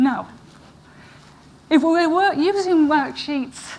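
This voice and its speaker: The speaker is a woman with an American accent. Her pitch varies in an ordinary way. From northern England, Manchester area. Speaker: professor. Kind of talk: conference talk. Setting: stage with audience.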